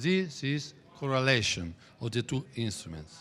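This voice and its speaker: A man's bright, sharp voice with an Italian accent at a fairly slow pace, very cleanly recorded against a silent background. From Italy. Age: 60s. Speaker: trading teacher. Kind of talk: lecture. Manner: halting.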